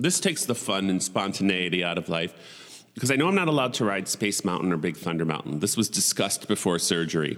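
A man with an American accent talks at a very fast pace. His fairly low voice has lively intonation. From Buffalo, New York. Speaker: podcast host. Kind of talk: casual solo monologue. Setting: home recording setup. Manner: rambling; animated.

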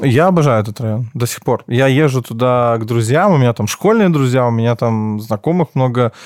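Very clean recording, silent background, a man with a normal speaking voice at medium pitch, ordinary pitch variation, fairly quick pace and hardly any pauses. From Belarus, Minsk. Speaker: entrepreneur, event and restaurant organizer. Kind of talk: casual interview.

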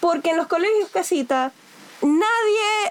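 Noticeable background noise accompanies a woman speaking at a fairly slow pace. Her pitch swings very widely. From Venezuela. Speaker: podcast host, educator. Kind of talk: casual chat.

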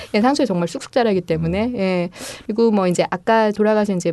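A woman speaks with a dark, mellow tone. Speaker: fair trade coffee team leader. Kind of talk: casual interview chat.

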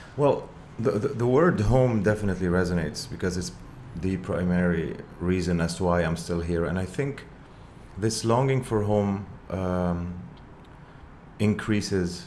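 A man with a very deep, low pitch and ordinary pitch variation speaks at a fairly slow pace. He leaves long, frequent pauses. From Lebanon. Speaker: rock musician. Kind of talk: casual interview. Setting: video podcast studio.

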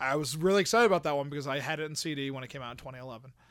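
A man talks at a very fast pace with a fairly high pitch. The recording is very clean and the background silent. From Pennsylvania. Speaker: wrestling podcast guest. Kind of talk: casual chat.

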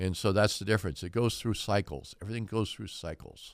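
Recorded very cleanly against a silent background, a man with a fairly low pitch and vocal fry talks at a fairly quick pace with ordinary pitch variation. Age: 70s. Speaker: real estate broker. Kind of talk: radio interview.

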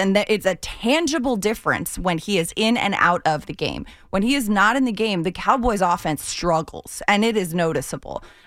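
At a moderate pace, a woman with a normal speaking voice speaks at a medium pitch with ordinary pitch variation. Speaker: sports TV host. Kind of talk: casual chat. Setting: studio.

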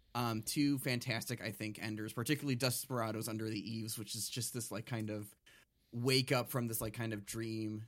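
A man's ordinary speaking voice at a medium pitch, moderate pace and fairly even intonation. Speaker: podcast host. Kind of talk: casual chat. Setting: video call.

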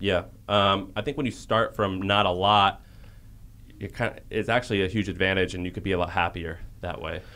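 A man speaks at a fairly quick pace with an unremarkable speaking voice. His pitch is fairly low and his intonation fairly even. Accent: American. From US Midwest, St. Louis, Missouri. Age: 30s. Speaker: entrepreneur. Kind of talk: casual interview conversation.

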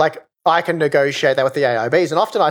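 Speaking at a very fast pace, a man has an Australian accent. His pitch variation is ordinary. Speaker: hardware reviewer. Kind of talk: casual chat. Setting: remote call.

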